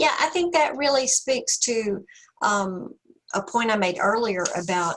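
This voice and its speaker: A woman with a slight Southern US accent, very wide pitch swings and a fairly slow pace. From US South. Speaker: counseling professor. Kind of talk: webinar presentation and discussion. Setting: video call.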